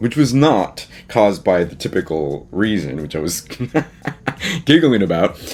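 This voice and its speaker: Over noticeable background noise, a man speaks in an animated tone with lively intonation at a moderate pace. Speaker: artist and YouTube host. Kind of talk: casual vlog chat.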